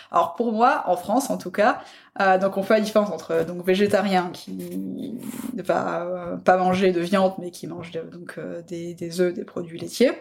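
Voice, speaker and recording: A woman speaks fairly slowly at a medium pitch with ordinary pitch variation and vocal fry. Her loudness swings widely. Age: 20s. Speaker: food photographer. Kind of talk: casual chat. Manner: hesitant, many fillers.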